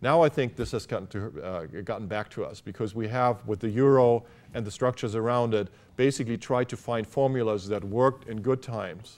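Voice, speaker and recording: A man with a German accent, medium pitch and a fairly quick pace. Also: ordinary pitch variation. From Germany. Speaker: business school academic. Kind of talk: interview. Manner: halting, many fillers.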